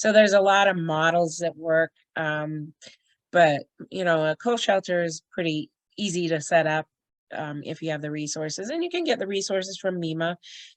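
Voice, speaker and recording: In a dry, close recording with no echo, a woman with an ordinary speaking voice talks at a moderate pace, fairly low in pitch, with ordinary pitch variation. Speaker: emergency shelter trainer. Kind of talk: online training presentation. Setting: video call. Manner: casual, filler-heavy.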